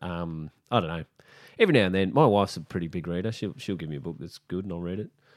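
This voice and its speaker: Very fast speech from a man with a Queensland accent, very deep, low pitch and ordinary pitch variation, on a very clean recording with a silent background. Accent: Australian (Queensland). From Brisbane, Australia. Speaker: comedian. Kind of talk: casual chat.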